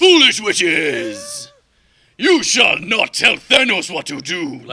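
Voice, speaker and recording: A man doing a put-on character voice, pitched high. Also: fairly slow pace. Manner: arrogant, commanding.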